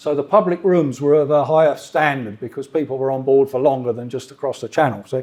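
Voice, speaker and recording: With a southern English accent, a man talks at a moderate pace in a dark, mellow tone with ordinary pitch variation. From south of England, Surrey. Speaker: freight train driver. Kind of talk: club talk with slides. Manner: casual, conversational.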